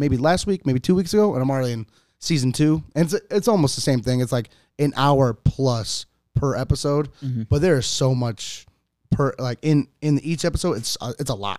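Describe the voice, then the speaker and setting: In an American accent, a man with an unremarkable speaking voice talks at a fairly high pitch and fairly quick pace with lively intonation, in a dry, close sound with no echo and a very clean recording with a silent background. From US Midwest, Cleveland, Ohio. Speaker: enlisted navy sailor. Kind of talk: casual chat.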